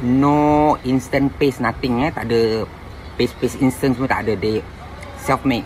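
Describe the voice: Faint background noise sits behind a voice that moves at a fairly slow pace, with fairly even intonation and a slightly mellow tone.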